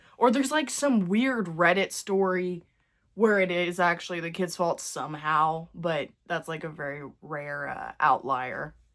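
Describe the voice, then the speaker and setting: The intonation here is lively. It belongs to a woman speaking at a medium pitch. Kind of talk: casual get-ready-with-me talk to camera. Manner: chatty, rambling.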